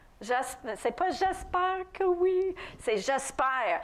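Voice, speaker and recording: Amid audible room echo, a woman with a non-native accent speaks very slowly at an extremely high pitch. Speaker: preacher. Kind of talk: sermon. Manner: halting at times.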